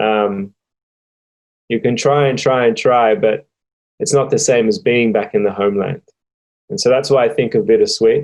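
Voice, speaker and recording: A man with an Australian accent speaks at a medium pitch. His voice has very wide pitch swings and long, frequent pauses. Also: moderate pace. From Australia (Sydney). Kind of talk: interview testimony. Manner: hesitant, many filler ums.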